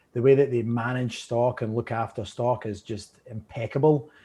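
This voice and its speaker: With a Scottish accent, a man of medium pitch speaks at a moderate pace in a dark, mellow, somewhat breathy tone with monotone, flat intonation. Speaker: whisky brand representative. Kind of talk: interview.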